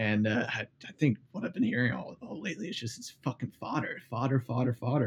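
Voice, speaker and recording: At a fairly quick pace, a man speaks at a medium pitch with a dark, mellow, somewhat breathy tone. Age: 20s. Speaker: content creator and gamer. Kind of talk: casual chat.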